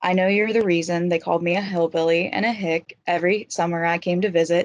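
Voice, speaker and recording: A woman with a slight Appalachian accent talks at a fairly low pitch. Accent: slight Appalachian twang. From West Virginia, Eastern Panhandle (Franklin). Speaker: university student and writer. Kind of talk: reading aloud a personal essay.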